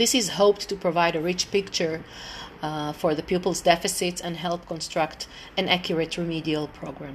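Over noticeable background noise, a woman with an Israeli accent speaks in a fairly low voice at a moderate pace with fairly even intonation. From Israel, Tel Aviv. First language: Hebrew. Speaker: English teacher. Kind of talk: informal presentation; reading aloud. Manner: halting, many fillers.

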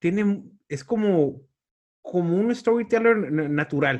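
This is a man's voice. The rise and fall of his pitch is ordinary. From Tijuana, Mexico. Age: 40s. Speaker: podcast host and stand-up comedian. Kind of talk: casual interview chat.

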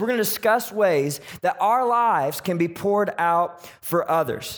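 A man talks with lively intonation. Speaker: pastor. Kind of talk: sermon; pep talk. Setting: church with live congregation. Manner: animated, upbeat, crowd-rallying; loud, energetic.

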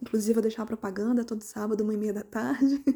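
A woman's somewhat breathy voice, fairly high in pitch with a dark, mellow tone, at a fairly quick pace. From Volta Redonda, Rio de Janeiro state, Brazil. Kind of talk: personal testimony.

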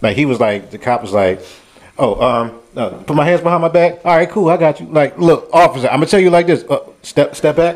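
A man's high voice with lively intonation at a fairly quick pace. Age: 40s. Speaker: podcast co-host. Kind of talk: casual chat.

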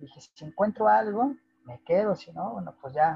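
A man's dark, mellow tone with a Mexican accent, moderate pace, and very wide pitch swings. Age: 30s. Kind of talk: interview.

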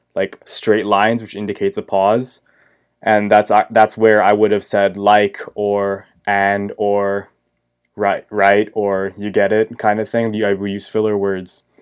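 A man speaks in a very clean recording against a silent background. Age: 20s. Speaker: podcast host. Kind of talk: solo casual monologue. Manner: unsure, rambling, self-conscious; casual, swears, filler words.

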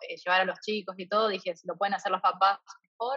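This voice belongs to a woman. Her delivery is very fast. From Argentina, rural Santa Fe province. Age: 20s. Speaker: traveler and translator. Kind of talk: casual interview.

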